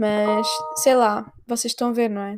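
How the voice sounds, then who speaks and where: With a European Portuguese accent, a woman speaks at a fairly high pitch in a dark, mellow tone. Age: 20s. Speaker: podcaster and comedian. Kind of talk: casual monologue.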